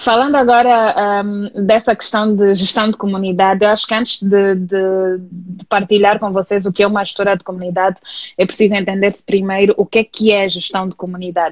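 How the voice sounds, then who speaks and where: A woman with an Angolan accent talks in a medium pitch and a monotone, flat intonation, with hardly any pauses. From Angola, Luanda. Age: 30s. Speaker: communication specialist and community manager. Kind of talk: interview. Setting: online live stream. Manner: calm.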